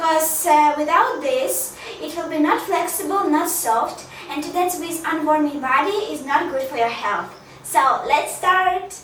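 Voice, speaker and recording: Amid noticeable background noise and audible room echo, a woman speaks fairly slowly in an extremely high voice, with big swings in loudness and ordinary pitch variation. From Ukraine. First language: Ukrainian or Russian. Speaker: dance teacher. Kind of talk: tutorial.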